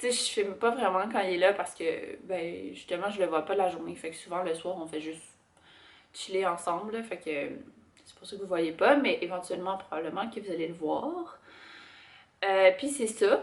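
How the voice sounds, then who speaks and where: A woman with a Quebec accent speaks at a moderate pace in a medium pitch with ordinary pitch variation. Her loudness swings widely, and she leaves long, frequent pauses. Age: 20s. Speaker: lifestyle vlogger. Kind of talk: casual talk to camera.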